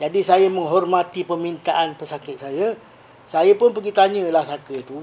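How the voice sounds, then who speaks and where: Moderately paced speech from a man with a high voice and ordinary pitch variation. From Malaysia, Negeri Sembilan. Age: 60s. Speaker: Islamic spiritual healer. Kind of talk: podcast interview.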